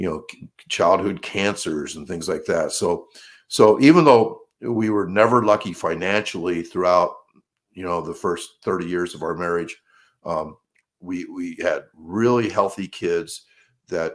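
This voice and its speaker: A man speaks at a fairly slow pace with big swings in loudness, on a very clean recording with a silent background. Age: 60s. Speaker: high school track coach. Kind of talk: interview. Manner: halting, many fillers and repetitions; candid, conversational.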